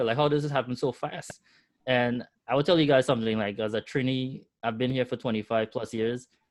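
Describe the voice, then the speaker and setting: With a strong Trinidadian accent, a man talks at a fairly quick pace with fairly even intonation against a quiet background. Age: 40s. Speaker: entrepreneur. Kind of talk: webinar interview.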